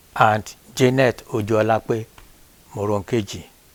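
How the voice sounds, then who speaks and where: In a dry, close sound with no echo, a man speaks at a very slow pace and medium pitch, with fairly even intonation. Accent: Nigerian. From Nigeria, Osun State (Yoruba). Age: 70s. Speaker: grandfather being interviewed. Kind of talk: family interview. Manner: formal.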